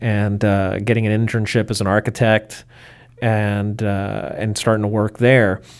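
Speaking fairly slowly in an American accent, a man with a fairly low voice keeps a flat, monotone intonation. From US, Baltimore, of Cuban parents. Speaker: aviation photographer. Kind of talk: interview. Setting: in person.

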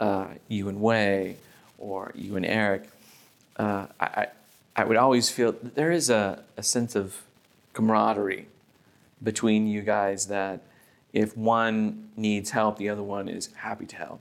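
Speech comes at a fairly slow pace with fairly even intonation and long, frequent pauses. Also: man, fairly low pitch for a man. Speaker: podcast co-host. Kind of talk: casual interview over drinks.

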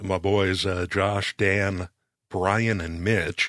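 A man's fairly low voice with a bright, sharp tone against a quiet background. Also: dry, close sound with no echo. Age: 50s. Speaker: podcast producer. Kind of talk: casual chat.

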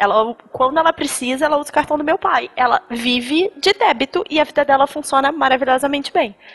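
A woman speaks at a high pitch with lively intonation and a moderate pace. Noticeable background noise is present. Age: 20s. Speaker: personal finance expert. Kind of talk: casual chat.

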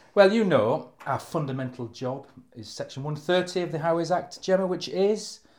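A man with a high voice and a Hampshire accent, lively intonation, big swings in loudness and a moderate pace. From Hampshire, England. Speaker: area access manager. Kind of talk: casual interview.

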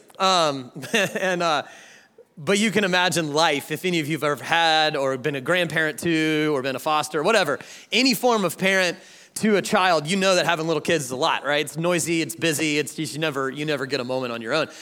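On a very clean recording with a silent background, a man with an American accent speaks at a fairly quick pace in a fairly high, bright, sharp tone with ordinary pitch variation. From US South, Georgia. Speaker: guest preacher. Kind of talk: sermon. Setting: church stage with audience. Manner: animated.

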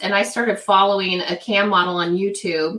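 A woman speaks in a normal speaking voice, keeping a medium pitch and a moderate pace. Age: middle-aged. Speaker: webcam model. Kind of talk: casual interview chat.

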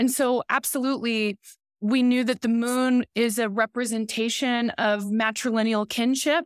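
A woman with an ordinary speaking voice, fairly high pitch, moderate pace, very even loudness and a dry, close sound with no echo. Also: very clean recording, silent background. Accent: American. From Oklahoma and southwest Missouri. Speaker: film director and writer. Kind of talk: interview. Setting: film festival.

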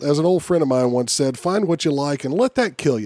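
A man's plain, everyday voice, fairly high in pitch, with lively intonation at a fairly quick pace. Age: 40s. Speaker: podcast host and martial artist. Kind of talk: casual chat and interview. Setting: studio.

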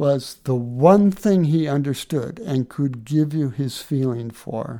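Delivering his words at a very slow pace, a man with a fairly high pitch and a dark, mellow tone uses lively intonation. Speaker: co-host. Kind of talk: radio co-host in conversation.

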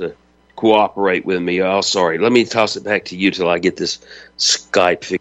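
In a Southern US accent, a man with a fairly low voice speaks at a moderate pace in a flat monotone. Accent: Southern American. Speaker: radio host. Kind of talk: talk radio roundtable.

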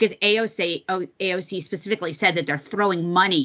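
A woman at medium pitch, moderate pace and ordinary pitch variation, in a plain, everyday voice. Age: 50s. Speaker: podcast co-host. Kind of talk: casual political talk show chat.

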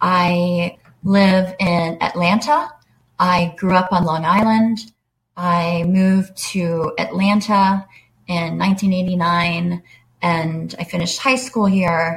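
Speaking very slowly with an American accent, a woman uses a fairly low, somewhat breathy voice and fairly even intonation. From US South. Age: 30s. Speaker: person living with MS. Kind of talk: interview.

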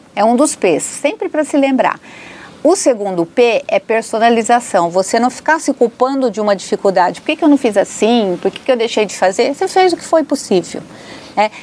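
A woman with a high voice, very wide pitch swings and a fairly quick pace over noticeable background noise. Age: 60s. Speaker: psychologist. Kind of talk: interview.

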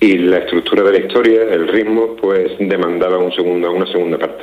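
Over noticeable background noise, a man speaks at a moderate pace in a fairly low, monotone voice with flat intonation. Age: 30s. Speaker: novelist. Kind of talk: interview.

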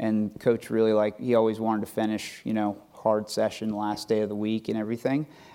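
Fairly quick with hardly any pauses, a man with an American accent talks in a fairly low pitch and a dark, mellow tone, his intonation monotone and flat. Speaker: high performance director, American football. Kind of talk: panel discussion on stage. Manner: hesitant, filler-heavy.

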